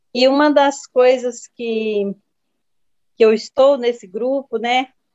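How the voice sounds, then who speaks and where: Her intonation stays fairly even as a woman speaks at a high pitch. She leaves long, frequent pauses. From Jales, São Paulo state. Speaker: osteopath and physiotherapist. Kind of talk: personal introduction. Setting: video call.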